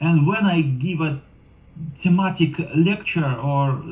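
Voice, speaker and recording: This man has a non-native accent. His tone is somewhat breathy. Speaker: driver and program assistant. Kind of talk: interview monologue. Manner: halting.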